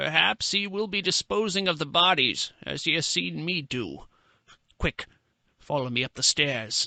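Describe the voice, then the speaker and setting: A man performs a put-on character voice with very wide pitch swings. He talks at a moderate pace. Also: fairly high pitch for a man. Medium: read story. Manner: gloating, sardonic.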